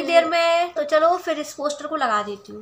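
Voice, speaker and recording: A woman's raised, projected voice at a high pitch, at a moderate pace amid noticeable background noise. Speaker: vlogger. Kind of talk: casual vlog chat.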